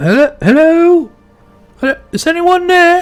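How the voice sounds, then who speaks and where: Faint music plays behind a soft-spoken, put-on character voice at an extremely high pitch. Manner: calling out hesitantly.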